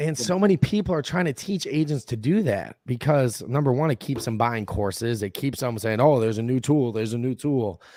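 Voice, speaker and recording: Animated and lively in intonation, a man speaks at a medium pitch and a fairly quick pace with hardly any pauses. The recording is very clean, with a silent background. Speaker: entrepreneur. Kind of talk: casual chat.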